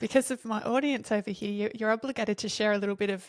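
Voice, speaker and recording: Speaking in an Australian accent at a very fast pace, a woman keeps a monotone, flat intonation at a fairly high pitch, the sound dry and close with no echo. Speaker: podcast host, dance teacher. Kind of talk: interview podcast.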